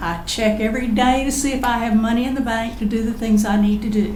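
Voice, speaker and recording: A woman with a Southern US accent talks at a fairly quick pace in a fairly high pitch with fairly even intonation. Audible room echo and noticeable background noise fill the recording. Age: 70s. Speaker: local resident speaking at public hearing. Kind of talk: public comment at council meeting. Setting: county commissioners meeting.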